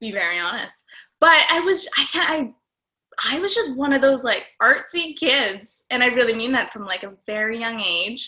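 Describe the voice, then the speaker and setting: A woman with a Canadian accent, high pitch, very wide pitch swings, a bright, sharp tone and a moderate pace. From Calgary, Alberta, Canada. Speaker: actor and director. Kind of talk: casual chat.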